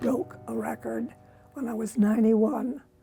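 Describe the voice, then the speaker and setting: Music plays behind a woman who speaks at a moderate pace. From US Upper Midwest, northwestern Minnesota. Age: 90s. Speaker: senior runner. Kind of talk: casual interview.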